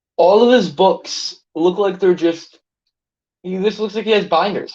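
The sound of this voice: A man with a high pitch for a man and a slightly mellow tone talks at a moderate pace.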